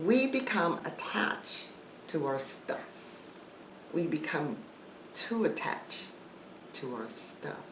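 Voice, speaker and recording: Very slowly and with long, frequent pauses, a woman speaks in a fairly low voice with very wide pitch swings, against audible room echo and noticeable background noise. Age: 60s. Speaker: YouTuber, life coach. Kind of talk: casual vlog talk to viewers.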